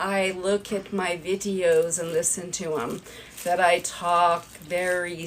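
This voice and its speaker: Noticeable background noise sits under a woman speaking at a very slow pace in a medium pitch. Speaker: video creator. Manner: slow talker.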